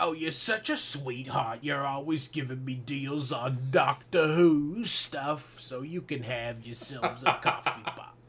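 Speaking at a fairly slow pace with hardly any pauses, a man uses a put-on character voice pitched fairly high. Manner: sweet, gushing.

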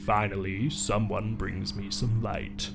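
This put-on character voice is booming and comes at a fairly slow pace. Loud background noise runs underneath. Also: man, fairly low pitch for a man. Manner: commanding, resonant.

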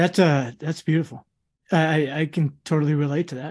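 The voice is somewhat breathy, with an American accent. It moves at a fairly quick pace. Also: man. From Queens, New York, then Rhode Island. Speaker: podcast co-host. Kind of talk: casual interview chat.

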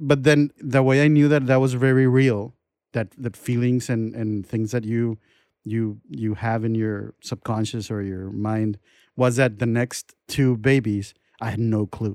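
Over a quiet background, a man with a Spanish accent speaks at a fairly slow pace and medium pitch, his intonation fairly even. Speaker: podcast host. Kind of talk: casual interview chat.

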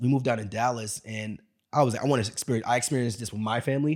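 A man with a Brooklyn accent talks very fast with fairly even intonation on a very clean recording with a silent background. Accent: Brooklyn New York. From Brooklyn, New York. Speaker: entrepreneur and podcaster. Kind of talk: casual interview conversation. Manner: hesitant, repeats words.

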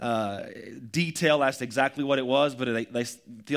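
The clip features a natural reading voice.

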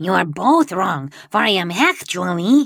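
Using a put-on character voice, a woman speaks at a medium pitch and a fairly slow pace, with very wide pitch swings. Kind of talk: 1930s radio villain acting. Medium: audio drama. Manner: pompous, theatrical.

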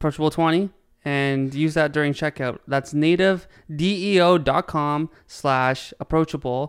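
A man with a Canadian accent speaks in an unremarkable speaking voice, fairly high-pitched, with fairly even intonation, very even loudness and a fairly slow pace. The recording is very clean with a silent background, and the sound is dry and close with no echo. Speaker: trucking company owner. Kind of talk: casual chat. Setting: studio, on camera. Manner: joking, playful.

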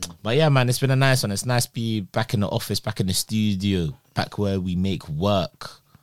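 A man's fairly low voice in a London accent, at a fairly quick pace with hardly any pauses and ordinary pitch variation. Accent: London urban British. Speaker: podcast co-host. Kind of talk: casual banter podcast chat. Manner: energetic, playful, slangy.

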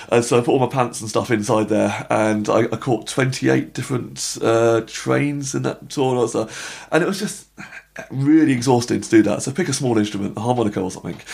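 A man with a British accent, medium pitch, ordinary pitch variation, vocal fry and a fairly quick pace. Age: 30s. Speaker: drummer and comedian. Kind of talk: casual interview chat. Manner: very fast talker; excited, animated.

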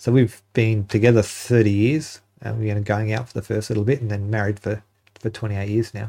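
A man with an Australian accent speaks at a moderate pace and a fairly low pitch. His dark, mellow tone stays monotone and flat. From Northern Territory, Australia. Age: 50s. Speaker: park ranger. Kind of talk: interview. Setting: studio.

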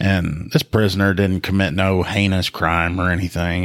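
A man with a Southern US accent and a very deep, low pitch. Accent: US South. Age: 40s. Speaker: police officer and podcast co-host. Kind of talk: casual chat.

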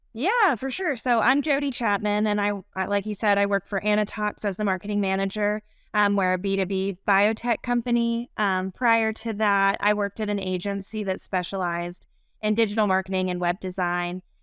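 A woman's medium-pitched, ordinary speaking voice at a moderate pace, with fairly even intonation, dry and close with no echo, on a very clean recording with a silent background. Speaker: marketing manager. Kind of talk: casual interview.

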